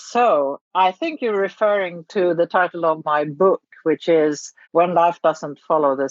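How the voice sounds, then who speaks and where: A woman with a fairly low pitch speaks at a very slow pace, with ordinary pitch variation. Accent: Swedish. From Sweden. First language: Swedish. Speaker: charity founder and writer. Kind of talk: interview. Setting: remote recording.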